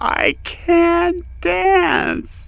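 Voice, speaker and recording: A man performs a put-on character voice over light background noise. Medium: machinima. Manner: theatrical.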